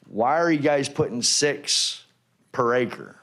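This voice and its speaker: A man with ordinary pitch variation, heard with audible room echo. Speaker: retired Marine, resident speaking at public hearing. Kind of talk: public comment at council hearing. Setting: city council chambers. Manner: loud.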